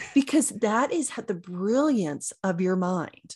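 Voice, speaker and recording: A woman with an American accent, fairly high-pitched and somewhat breathy, at a very slow pace with very wide pitch swings against a quiet background. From rural Oklahoma. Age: 50s. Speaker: chiropractor and intuitive coach. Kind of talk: interview.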